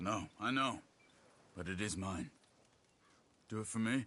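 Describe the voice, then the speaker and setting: A man puts on a character voice, fairly low in pitch, and keeps a moderate pace. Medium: video game. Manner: steady, earnest.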